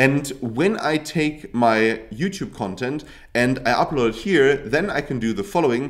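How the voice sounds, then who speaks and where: The speaker talks at a fairly slow pace with a German accent and lively intonation. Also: man, medium pitch for a man. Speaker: YouTube tutorial creator. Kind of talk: tutorial. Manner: casual, hesitant with fillers and restarts.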